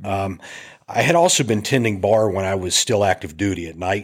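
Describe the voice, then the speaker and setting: A man with an American accent speaks in an unremarkable speaking voice at a fairly low pitch. His pace is fairly quick, and his pitch varies in an ordinary way. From US Appalachia. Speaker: filmmaker and navy veteran. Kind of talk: casual interview.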